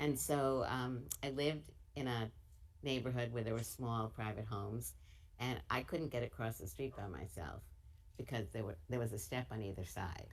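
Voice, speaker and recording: A woman talks at a moderate pace in a very deep, low pitch with vocal fry. Her intonation is lively. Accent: New York. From US Northeast, Brooklyn, New York. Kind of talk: interview.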